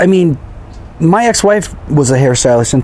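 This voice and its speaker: An American accent from a man, fairly high in pitch with very wide pitch swings, over noticeable background noise. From California. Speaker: podcast co-host. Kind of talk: casual chat.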